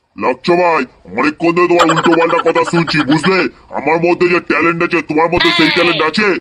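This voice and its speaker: A man does a cartoonish character voice with a high pitch at a moderate pace. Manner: proud, indignant.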